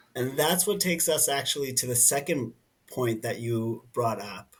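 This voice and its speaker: With ordinary pitch variation, the speaker sounds somewhat breathy. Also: man. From New Jersey, US. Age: 30s. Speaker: nonprofit director. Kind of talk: interview conversation. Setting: podcast.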